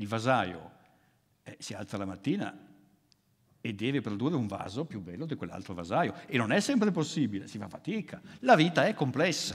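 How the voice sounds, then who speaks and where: A man speaks at a moderate pace with a medium pitch, pausing often and at length. His pitch swings very widely and his loudness rises and falls sharply. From northern Italy, Milan. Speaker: philosopher. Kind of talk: lecture.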